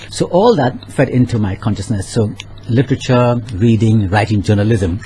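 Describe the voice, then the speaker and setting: There is noticeable background noise as a man talks at a moderate pace, medium in pitch with ordinary pitch variation. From Saint Lucia. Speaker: author. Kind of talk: radio interview.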